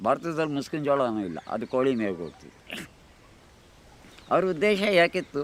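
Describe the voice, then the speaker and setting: A man's fairly high voice with very wide pitch swings and big swings in loudness. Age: 80s+. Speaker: organic farmer. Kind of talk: documentary interview answer.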